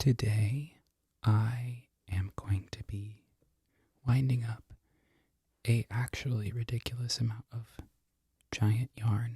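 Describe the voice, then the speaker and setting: A man whispering, somewhat breathy, at a very slow pace with long, frequent pauses, in a dry, close sound with no echo. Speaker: barista. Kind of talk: ASMR ramble to camera. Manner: whispered.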